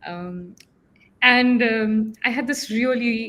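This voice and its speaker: A woman speaks at a very slow pace. Her voice is fairly high, and her intonation stays fairly even. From Mumbai, India. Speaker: panelist, corporate manager. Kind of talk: panel discussion. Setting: live stream.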